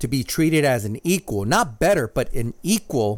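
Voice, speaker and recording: The speaker is male. His recording is very clean, with a silent background. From Santa Ana, California (Mexican parents). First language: Spanish. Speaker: record label co-founder. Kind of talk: casual chat. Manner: casual, profane, code-switching.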